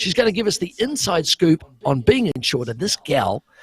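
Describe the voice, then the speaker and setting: A man in a New Zealand accent at a moderate pace, with very wide pitch swings and a dry, close sound with no echo. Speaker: talk show host. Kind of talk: casual chat.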